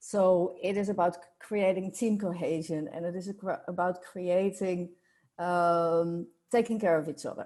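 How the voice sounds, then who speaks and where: On a very clean recording with a silent background, a woman with a Dutch accent speaks at a fairly slow pace in a medium pitch and a dark, mellow tone, her intonation fairly even. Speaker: workplace culture consultant. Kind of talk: podcast interview. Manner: halting.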